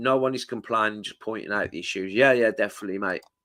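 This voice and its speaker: His tone is bright and sharp, and the man's pitch sits in the medium range. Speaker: football fan channel host. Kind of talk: live stream chat reading viewer comments. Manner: casual, hesitant with fillers.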